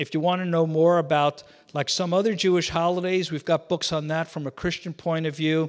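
A man's high-pitched voice in a New York accent, monotone and flat in intonation, on a very clean recording with a silent background. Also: fairly quick pace. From New York City. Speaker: visiting missionary speaker. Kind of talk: church talk. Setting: church.

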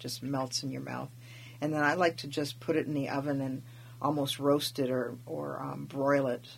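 A woman with a very deep, low voice and vocal fry speaks in a monotone, flat way at a fairly slow pace. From Alaska, Tlingit family from Wrangell. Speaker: interviewer. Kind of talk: casual interview. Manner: halting, many fillers.

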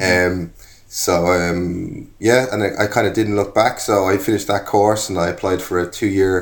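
Very deep, low male voice in an Irish accent with fairly even intonation, on a very clean recording with a silent background. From Ireland. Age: 40s. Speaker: furniture designer and maker. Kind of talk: casual interview chat.

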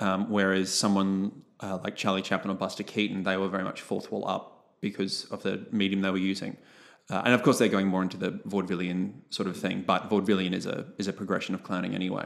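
With an Australian accent, a man speaks at a very deep, low pitch and a very fast pace. His intonation is monotone and flat, with hardly any pauses. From Brisbane, Australia. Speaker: clown and theatre company co-founder. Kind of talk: casual interview.

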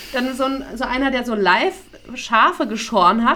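The woman's voice is high-pitched, with a bright, sharp tone. Room echo can be heard. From Hesse, Taunus area. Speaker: podcast co-host. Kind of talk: casual chat.

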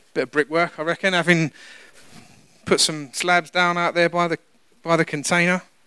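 This man has a British accent and a bright, sharp tone at a fairly high pitch. He talks at a very fast pace, and the sound is dry and close with no echo. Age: 40s. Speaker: pastor. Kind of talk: sermon.

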